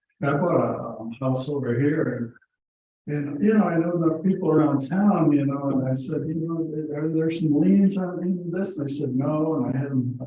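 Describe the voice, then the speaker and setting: Audible room echo surrounds a man's voice. He speaks at a moderate pace with a fairly high pitch and ordinary pitch variation. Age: 60s. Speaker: property owner at a public meeting. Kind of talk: casual chat.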